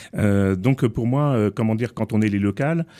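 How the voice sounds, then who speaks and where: A man speaks at a moderate pace with a fairly low pitch, ordinary pitch variation and a dark, mellow tone. The recording is very clean, with a silent background. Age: 60s. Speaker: politician. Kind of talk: political debate. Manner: hesitant, many fillers.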